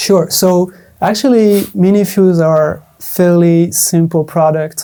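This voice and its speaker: With a non-native accent, a man speaks in a dark, mellow tone with fairly even intonation. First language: not English. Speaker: product specialist for audio gear maker. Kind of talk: interview. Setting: studio. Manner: hesitant, with fillers.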